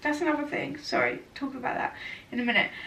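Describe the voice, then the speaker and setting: A woman rattles along very fast as noticeable noise and audible room echo fill the space. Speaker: vlogger. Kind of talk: casual vlog chat. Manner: chatty, rambling with fillers.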